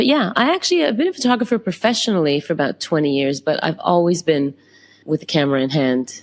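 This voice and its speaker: This woman talks at a very fast pace with a Canadian accent, her loudness very even. Her pitch sits fairly low but swings very widely. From Canada. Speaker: photographer. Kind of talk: interview. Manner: halting.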